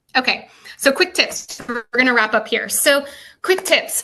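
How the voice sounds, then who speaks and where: A woman with an American accent speaks in a bright, sharp tone at a high pitch with ordinary pitch variation. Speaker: behavior analyst presenter. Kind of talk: lecture. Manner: fast.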